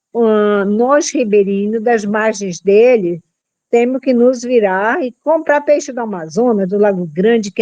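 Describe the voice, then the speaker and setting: A woman with a fairly high pitch and a dark, mellow tone speaks at a fairly slow pace with ordinary pitch variation, in a dry, close sound with no echo. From Brazil, Pará, Arapiuns river region near Santarém. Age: 70s. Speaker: community leader. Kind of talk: testimony.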